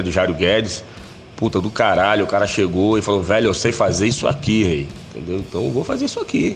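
Noticeable background noise is heard while the man keeps a moderate pace. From Bahia, Brazil (Itabuna, southern Bahia). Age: 40s. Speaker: death metal vocalist. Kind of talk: interview. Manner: halting, many fillers.

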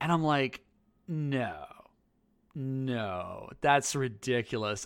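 With lively intonation and a fairly high pitch, a man speaks in a normal speaking voice. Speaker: podcast co-host and teacher. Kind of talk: casual chat podcast.

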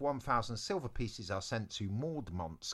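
Someone reads aloud in a natural voice, the intonation lively.

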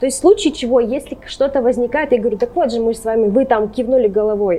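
A woman speaks fairly quickly, her pitch varying in an ordinary way, with noticeable background noise behind her. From Russia, Urals (Sverdlovsk region military town). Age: 20s. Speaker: social media content manager. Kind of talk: interview conversation. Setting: pub.

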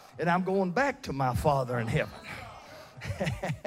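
A man talks in an animated, warm tone. His pitch swings very widely. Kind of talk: sermon to a live congregation, with call-and-response. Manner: animated, emphatic pulpit delivery with repeated words and stops, laughs and warm asides; bold, confident, punchy declarations, like a pep talk.

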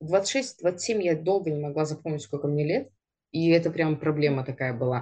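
A woman speaks with a very deep, low pitch and a dark, mellow tone. Her pace is moderate. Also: ordinary pitch variation. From Siberia, Russia. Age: 30s. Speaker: podcast co-host, targeted-ads specialist on maternity leave. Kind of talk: casual chat.

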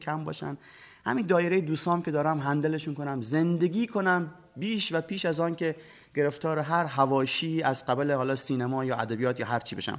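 Against a quiet background, a man with a fairly high pitch talks in a normal speaking voice at a fairly quick pace. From Bushehr, southern Iran. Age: 40s. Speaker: storyteller and TV program presenter. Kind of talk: storytelling in a TV interview.

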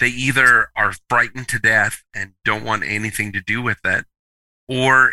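With an American accent and a bright, sharp tone, a man speaks at a moderate pace in a dry, close sound with no echo. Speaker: author. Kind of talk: interview storytelling.

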